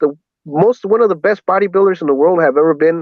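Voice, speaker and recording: With an American accent, a man talks at a very fast pace in a high pitch. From Southern California, Los Angeles. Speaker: interview guest. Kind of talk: casual chat.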